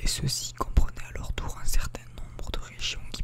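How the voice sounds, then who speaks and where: A man whispers at a moderate pace over noticeable background noise. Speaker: ASMR creator. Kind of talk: whispered book reading (ASMR). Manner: whispered.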